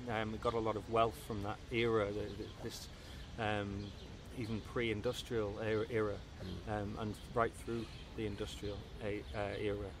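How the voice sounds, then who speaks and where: In a Liverpool accent, a man speaks at a fairly low pitch and a moderate pace with monotone, flat intonation and long, frequent pauses, the sound dry with no echo but with noticeable background noise. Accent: Liverpool (Scouse) English. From Merseyside, northern England (Southport/Liverpool). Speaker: musician. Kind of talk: interview. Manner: halting, many repetitions and fillers. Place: home room.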